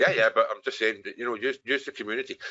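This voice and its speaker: A man speaks in a Scottish accent. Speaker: webinar host, software business owner. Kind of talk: live webinar Q&A. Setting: online webinar call.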